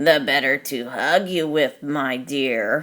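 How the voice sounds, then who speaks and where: In a put-on character voice, a woman growls in a very deep, low pitch at a fairly slow pace on a very clean recording with a silent background. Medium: read story. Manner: sly.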